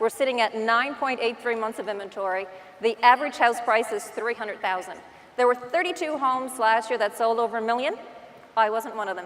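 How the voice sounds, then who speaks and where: In a Newfoundland accent, a woman talks at a fairly quick pace with fairly high pitch and ordinary pitch variation, noticeable background noise behind her. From Newfoundland, Canada. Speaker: real estate agent. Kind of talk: conference talk. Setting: stage with audience. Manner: animated.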